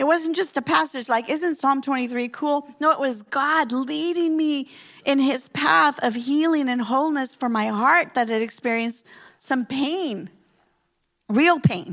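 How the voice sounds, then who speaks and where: Speaking with a Spanish accent at a fairly slow pace, the voice has lively intonation over a very clean recording with a silent background. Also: woman, high pitch for a woman. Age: 50s. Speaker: pastor. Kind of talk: sermon. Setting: church.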